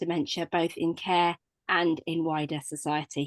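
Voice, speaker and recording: A British accent against a quiet background. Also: woman, dry, close sound with no echo. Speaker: webinar host. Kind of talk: webinar introduction and housekeeping. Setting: online webinar.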